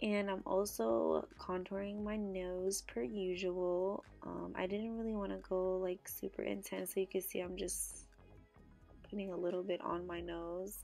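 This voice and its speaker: With music in the background, the woman delivers her words at a fairly slow pace. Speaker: beauty vlogger. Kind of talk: casual makeup tutorial talk to camera.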